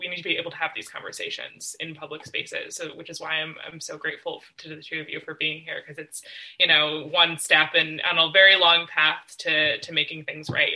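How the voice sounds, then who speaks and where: Speaking fairly quickly in a plain, everyday voice, a woman has an American accent and a fairly low pitch. Her intonation stays fairly even. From Western Massachusetts. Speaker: moderator, PhD student. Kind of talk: moderated panel discussion.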